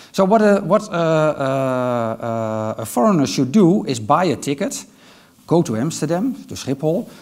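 Against a quiet background, a man with a Dutch accent uses a high pitch with very wide pitch swings. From Netherlands. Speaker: IT manager; conference speaker. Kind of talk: conference talk. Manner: hesitant, many filler sounds. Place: stage. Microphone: headset.

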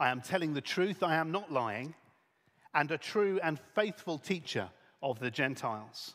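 Lively intonation marks this man's speech. He keeps a moderate pace against a quiet background. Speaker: event host. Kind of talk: reading aloud. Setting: stage with audience. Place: stage. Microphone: headset.

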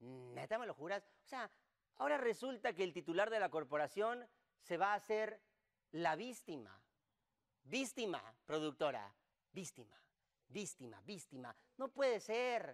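This man has a high-pitched voice and an animated tone with very wide pitch swings. He talks at a fairly slow pace, leaving long, frequent pauses. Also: quiet background. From Mexico. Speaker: political satire show host. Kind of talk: comedic monologue. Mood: sarcastic, joking. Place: studio.

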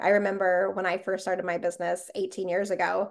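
A woman with an American accent speaks in an animated tone at a fairly quick pace. The background is quiet. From Las Vegas, US. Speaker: podcast host. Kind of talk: casual interview chat. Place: home room. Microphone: webcam.

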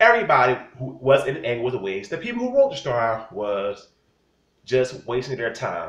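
A loud man with vocal fry and very wide pitch swings, in a room with audible echo. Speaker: wrestling commentator vlogger. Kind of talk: angry rant. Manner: loud, indignant, scolding. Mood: annoyed, opinionated. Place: home room. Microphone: phone near.

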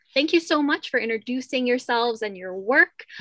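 Her tone bright and sharp, a woman speaks at a fairly high pitch with ordinary pitch variation, the sound dry with no echo and the background quiet. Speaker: panel moderator, art history student. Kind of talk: panel discussion. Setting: pre-recorded panel. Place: home room. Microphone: video call.

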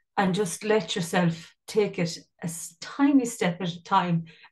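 In a western Irish accent, a woman speaks with a somewhat breathy voice and ordinary pitch variation. The background is quiet. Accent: Irish (west of Ireland). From Ireland, County Mayo; Ireland. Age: 50s. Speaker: life coach and singer; life coach. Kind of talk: casual interview chat. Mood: reflective, heartfelt. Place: home room. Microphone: video call.

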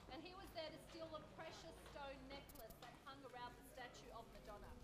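The speaker moves at a fairly quick pace amid noticeable background noise. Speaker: tour guide. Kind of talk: storytelling tour narration. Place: street. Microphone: camera far.

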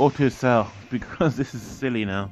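Man at medium pitch and moderate pace, ordinary pitch variation, music in the background. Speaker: gaming YouTuber. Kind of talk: gameplay commentary. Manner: animated.

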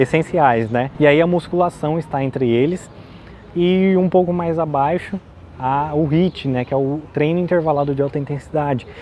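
Fairly even intonation from a man at a moderate pace, dry sound with no echo and light background noise. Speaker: health vlogger. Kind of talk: casual explanatory vlog talk. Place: street. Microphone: lapel.

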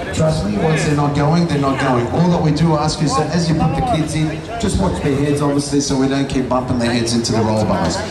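A man talks at a fairly quick pace with ordinary pitch variation. Loud background noise and audible room echo surround him. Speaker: event announcer. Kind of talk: public announcement. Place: street.

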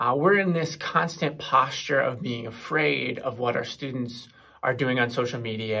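Over a quiet background, a man with a bright, sharp tone speaks at a moderate pace with ordinary pitch variation. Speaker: presenter. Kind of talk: presentation talk. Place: classroom. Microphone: phone near.

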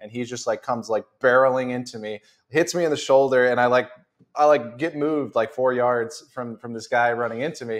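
A man's plain, everyday voice at medium pitch, with an American accent and fairly even intonation over a quiet background. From US South. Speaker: podcast host. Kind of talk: casual chat. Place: studio. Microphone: lapel.

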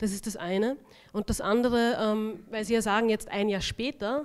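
A woman's unremarkable speaking voice, fairly high in pitch, with fairly even intonation, a moderate pace and a quiet background. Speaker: author. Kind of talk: panel discussion. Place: hall. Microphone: handheld.

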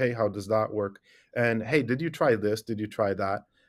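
A man talks while the background stays quiet. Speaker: remote podcast guest. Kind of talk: interview answer. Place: office.

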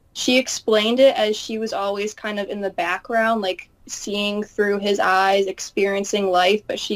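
At a fairly slow pace and with fairly even intonation, a woman speaks. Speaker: channel host interviewing a guest. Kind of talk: casual interview conversation. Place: home room. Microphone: webcam.

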